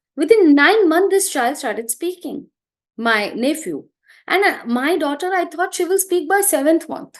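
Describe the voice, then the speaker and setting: A woman with a Gujarati accent speaks at an extremely high pitch with lively intonation. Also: moderate pace. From India, Gujarati background. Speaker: early childhood educator and trainer. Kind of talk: interview talk, advice to parents.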